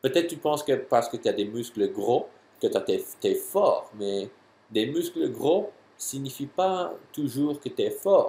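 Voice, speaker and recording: Very slowly, a man speaks in an English accent. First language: English (speaking French). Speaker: jumping and athletic trainer. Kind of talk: tutorial answering a viewer question. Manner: halting, many hesitations and repeats.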